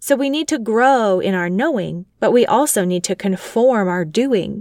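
Lively intonation and a fairly high pitch come from a woman at a moderate pace. It is an ordinary speaking voice on a very clean recording with a silent background. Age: 30s. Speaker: podcast host and homeschooling mother. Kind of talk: scripted narration. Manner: formal.

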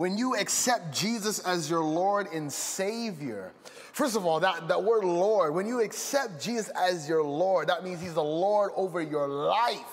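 Over noticeable background noise and audible room echo, a man with a high pitch talks in an animated tone with lively intonation at a fairly slow pace, with hardly any pauses. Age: 20s. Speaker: pastor. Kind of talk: sermon.

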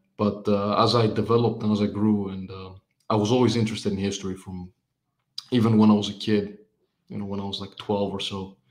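Speaking very fast with long, frequent pauses, a man with a Greek accent uses a fairly low pitch and monotone, flat intonation, his loudness swinging widely. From Greece. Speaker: writer and amateur historian. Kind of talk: casual interview conversation. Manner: hesitant, many fillers.

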